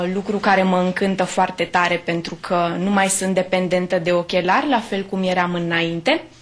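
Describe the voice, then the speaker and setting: A woman at medium pitch. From Romania, Bucharest. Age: 20s. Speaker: patient. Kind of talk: testimony. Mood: pleased, grateful. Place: home room.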